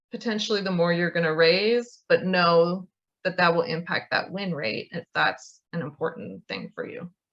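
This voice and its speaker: Talking at a fairly slow pace, a woman has a normal speaking voice with ordinary pitch variation. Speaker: grant writing consultant. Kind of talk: online training presentation.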